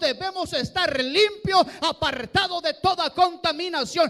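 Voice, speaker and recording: A man speaks at an extremely high pitch with ordinary pitch variation. His tone is bright and sharp. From Mexico. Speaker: pastor. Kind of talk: bilingual sermon. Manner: switches between Spanish and English, repeats words.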